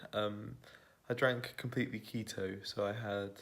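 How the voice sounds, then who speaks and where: A quiet, fairly low male voice with a British accent, monotone and flat. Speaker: vegan keto cooking vlogger. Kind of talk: casual vlog chat. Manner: quiet, hushed.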